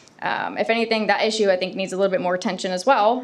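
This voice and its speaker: A woman's medium-pitched voice, fairly even in intonation, with audible room echo. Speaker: law enforcement officer giving public comment. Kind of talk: public comment at city council meeting. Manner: fast.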